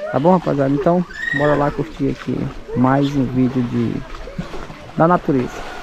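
Over noticeable background noise, a man speaks at a moderate pace. His intonation is monotone and flat, and the sound is dry with no echo. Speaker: travel vlogger. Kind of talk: casual vlog chat. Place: waterside. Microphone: phone near.

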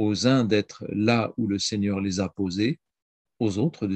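The speech moves at a very slow pace against a quiet background. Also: man, dry sound with no echo. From France. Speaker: priest and historian; priest. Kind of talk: reading prepared talk. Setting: video call. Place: home room. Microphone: video call.

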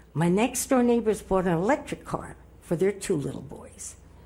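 Somewhat breathy and medium in pitch, a woman speaks at a moderate pace with a dark, mellow tone and lively intonation. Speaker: public commenter at city council. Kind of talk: public comment speech. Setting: city council meeting.

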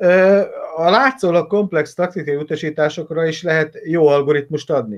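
A man speaks at a moderate pace with ordinary pitch variation. The background is quiet. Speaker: football coach and analyst. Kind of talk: casual interview chat about football. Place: home room. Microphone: webcam.

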